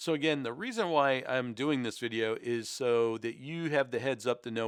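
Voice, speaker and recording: Recorded very cleanly with a silent background and a dry, close sound with no echo, a man speaks at a moderate pace and medium pitch with ordinary pitch variation. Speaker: YouTuber. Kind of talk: casual commentary. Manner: varied pitch and pace; halting, many fillers.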